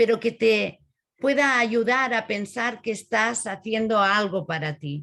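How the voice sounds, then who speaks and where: A woman's fairly high voice, bright and sharp in tone, comes through over a quiet background. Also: ordinary pitch variation, moderate pace. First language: Spanish. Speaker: author and caregiving speaker. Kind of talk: conference talk. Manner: halting.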